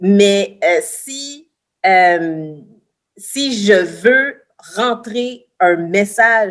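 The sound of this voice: The woman's intonation is lively.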